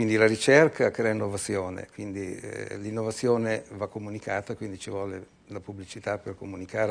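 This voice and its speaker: An ordinary speaking voice from a man, fairly low in pitch and fairly quick, with fairly even intonation and big swings in loudness. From Italy. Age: 60s. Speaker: entrepreneur; guest. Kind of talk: TV interview. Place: studio. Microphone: lapel.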